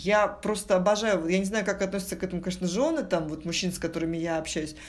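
A woman at a medium pitch with ordinary variation, in audible room echo. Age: 40s. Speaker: corporate executive. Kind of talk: casual interview. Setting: studio.

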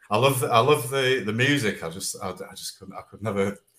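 Speaking with a Manchester accent, a man moves along at a fairly quick pace. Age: 50s. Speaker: singer-songwriter. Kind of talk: casual chat. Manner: halting.

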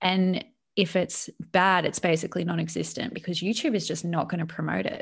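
A woman with an Australian accent talks at a fairly quick pace, her fairly low voice showing vocal fry and fairly even intonation over a quiet background. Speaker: YouTuber. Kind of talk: casual chat.

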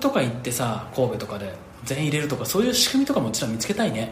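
Speaking fairly quickly with lively intonation, a man at medium pitch is heard in a room with audible echo. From Hyogo, Japan. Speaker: podcast host and company head. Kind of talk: casual chat.

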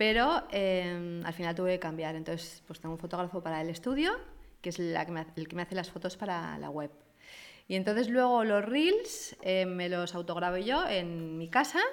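With a normal speaking voice, a woman talks at a moderate pace in a fairly low pitch with ordinary pitch variation. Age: 50s. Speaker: fashion influencer. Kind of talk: interview.

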